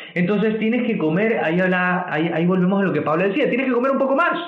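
A man talks at a very fast pace with a high pitch and lively intonation. Audible room echo and noticeable background noise surround him. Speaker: nutritionist podcast host. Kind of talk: casual chat. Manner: stuttering when excited.

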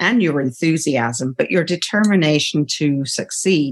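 A woman speaks with a British accent. Her pace is fairly slow, with ordinary pitch variation. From United Kingdom. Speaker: podcast host. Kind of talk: interview; scripted introduction.

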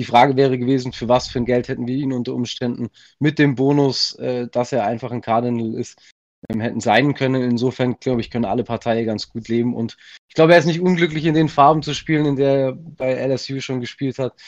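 A man with an unremarkable speaking voice talks at a medium pitch and a fairly quick pace. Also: fairly even intonation. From Swabia, southern Germany. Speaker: football fan, community member. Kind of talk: casual chat.

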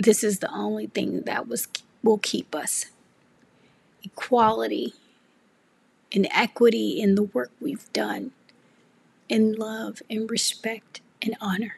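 A woman speaks at a very slow pace. Long pauses come often. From US South, Memphis, Tennessee. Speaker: podcast host, artist and arts educator. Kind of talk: personal tribute monologue.

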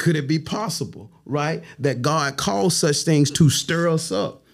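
A man with an Alabama accent, fairly high in pitch, with vocal fry and a fairly slow pace. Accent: Southern US, Alabama. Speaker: pastor and bishop. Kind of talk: casual chat.

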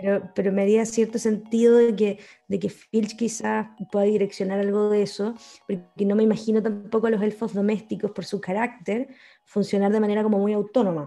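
A woman with a Chilean accent talks at a fairly quick pace and a medium pitch. Her tone is dark and mellow, and her intonation is monotone and flat. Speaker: podcast co-host. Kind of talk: casual chat.

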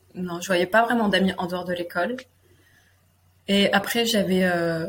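Somewhat breathy speech at a moderate pace, in a very clean recording with a silent background. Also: woman. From France, Limousin (near Limoges). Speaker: guest sharing personal story, women's circle facilitator. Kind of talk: personal testimony interview. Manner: halting, hesitant with repetitions.

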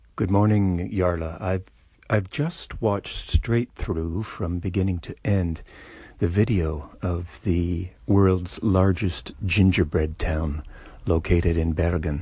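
A man speaks very slowly at a very deep, low pitch, somewhat breathy, with a dark, mellow tone. The background is quiet. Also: ordinary pitch variation. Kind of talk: formal mock-serious commentary. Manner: formal, polished, precise.

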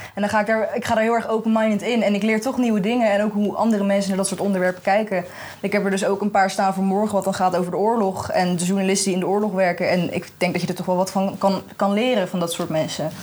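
Over noticeable background noise, a woman talks at a very fast pace with hardly any pauses and flat, monotone intonation. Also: medium pitch for a woman. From Netherlands, The Hague. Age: young. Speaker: journalism student. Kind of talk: casual chat. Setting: festival podcast recording.

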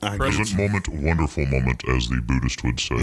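Over noticeable background noise, a man with a very deep, low pitch speaks at a fairly quick pace. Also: lively intonation. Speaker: studio guest on radio show. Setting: studio.

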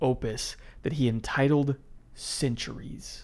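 A man with an American accent uses an ordinary speaking voice at a fairly high pitch, with ordinary pitch variation. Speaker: podcast co-host. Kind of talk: casual chat and history storytelling.

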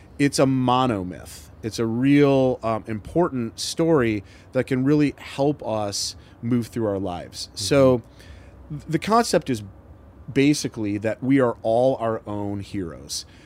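At a fairly slow pace, a man with an American accent and an ordinary speaking voice talks at medium pitch with ordinary pitch variation and big swings in loudness. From Michigan, US Midwest. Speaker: entrepreneur and business advisor. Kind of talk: casual interview.

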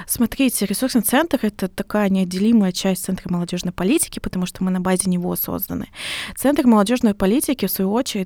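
A woman with a dark, mellow tone and medium pitch talks at a fairly quick pace, the sound dry and close with no echo. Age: 20s. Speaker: volunteer centre head. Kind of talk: podcast interview.

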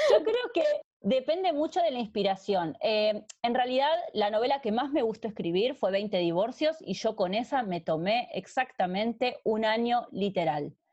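Speaking in a Rioplatense accent, a woman with a fairly high pitch lets her voice swing very widely up and down. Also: fairly slow pace, hardly any pauses. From Argentina. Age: 30s. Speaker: romance novelist. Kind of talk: interview conversation.

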